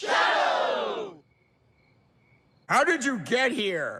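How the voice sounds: A man shouts in a cartoonish character voice. His pitch is extremely high.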